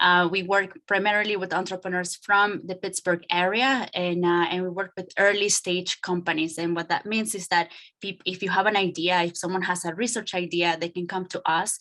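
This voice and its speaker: A Spanish accent, bright and sharp in tone, flat monotone delivery at a moderate pace with hardly any pauses. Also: woman, medium pitch for a woman. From Nicaragua. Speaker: startup incubator director. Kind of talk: panel talk. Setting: video call. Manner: hesitant, many fillers.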